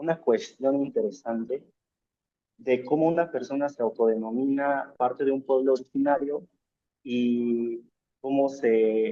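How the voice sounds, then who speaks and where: A man speaks at a very slow pace with a fairly high pitch. His pitch varies in an ordinary way. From Mexico, Hidalgo (Valle del Mezquital). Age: young. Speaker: student activist. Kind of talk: interview conversation. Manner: hesitant, with fillers.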